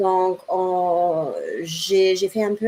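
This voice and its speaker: A woman speaks at a medium pitch in a German accent, her intonation flat and monotone, with noticeable background noise behind her. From Germany. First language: German (speaking French). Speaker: cat rescue association founder. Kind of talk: interview.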